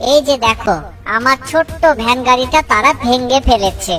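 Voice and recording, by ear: A female-sounding voice does a cartoonish character at a high pitch and a fairly slow pace. Clear music sounds in the background.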